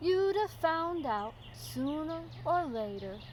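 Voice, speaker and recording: Over clear background noise, a woman speaks very slowly in a put-on character voice. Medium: read story.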